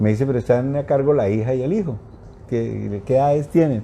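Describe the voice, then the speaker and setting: A man speaks with ordinary pitch variation. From Colombia. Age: 60s. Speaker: journalist. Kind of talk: interview. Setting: live stream.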